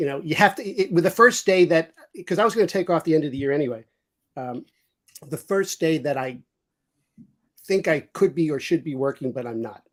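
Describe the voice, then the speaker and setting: In a New York accent, a man talks at a fairly quick pace with long, frequent pauses. His voice is fairly high, with lively intonation. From New York City. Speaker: business executive stepping away from work. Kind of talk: casual chat. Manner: halting, many repeated words.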